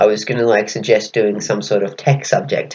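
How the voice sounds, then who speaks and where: A man talks at a fairly quick pace with ordinary pitch variation. His voice is somewhat breathy. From Australia. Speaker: podcast co-host. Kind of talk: casual chat. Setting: remote call.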